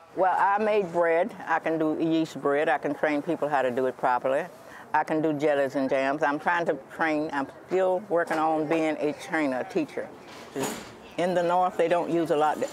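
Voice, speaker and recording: Against noticeable background noise, a woman with a very deep, low pitch speaks at a moderate pace with very even loudness. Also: fairly even intonation. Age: 80s+. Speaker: home cook and gardener selling at a market. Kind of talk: interview. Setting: farmers' market.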